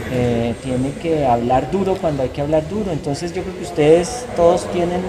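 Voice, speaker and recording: Amid noticeable background noise and audible room echo, a man talks at a moderate pace, his fairly high pitch showing ordinary pitch variation. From Colombia, Bogotá. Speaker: journalist. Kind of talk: interview.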